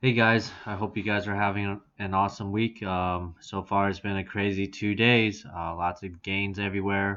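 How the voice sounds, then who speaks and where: Over a quiet background, a man with a fairly low pitch and a bright, sharp tone speaks in a flat monotone at a moderate pace with hardly any pauses. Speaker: stock chart analyst vlogger. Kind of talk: casual market analysis talk. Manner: monotone, dry.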